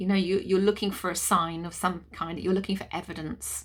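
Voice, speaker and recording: A voice with a British accent, in a very clean recording with a silent background. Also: woman. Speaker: energy healer. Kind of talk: guided clearing session. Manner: halting.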